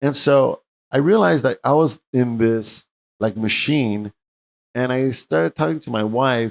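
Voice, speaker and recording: A man at a medium pitch uses a normal speaking voice with ordinary pitch variation, in a dry, close sound with no echo. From US West, East Los Angeles. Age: 60s. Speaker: medical doctor and interview host. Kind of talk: interview, personal story.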